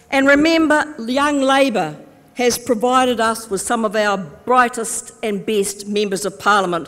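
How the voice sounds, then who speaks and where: Noticeable noise sits behind a woman speaking at a fairly slow pace. Her pitch is fairly high and her intonation lively. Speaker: politician, Labour Party deputy leader. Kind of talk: political conference speech to delegates. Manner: upbeat, humorous, rousing.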